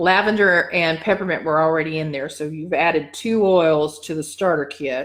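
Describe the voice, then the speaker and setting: A woman's normal speaking voice, fairly low in pitch, at a moderate pace with fairly even intonation, on a very clean recording with a silent background. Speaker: dog wellness coach. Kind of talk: live-stream tutorial. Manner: casual, with many fillers.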